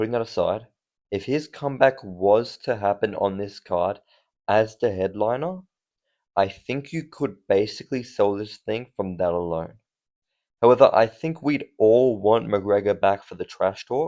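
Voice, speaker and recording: Against a quiet background, a man with an Australian accent speaks at a moderate pace in a fairly low pitch, with a dark, mellow tone and ordinary pitch variation. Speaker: MMA commentator. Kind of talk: casual commentary. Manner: animated.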